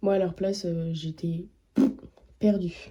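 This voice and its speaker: Somewhat breathy and dark, mellow in tone, a woman with fairly low pitch speaks at a very slow pace in a monotone, flat intonation. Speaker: vlogger and art student. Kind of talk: casual vlog. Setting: outdoors, walking. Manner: hesitant.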